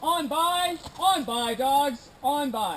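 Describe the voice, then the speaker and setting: Clear background noise sits behind a man using a put-on character voice. His pitch is extremely high. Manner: stern, commanding.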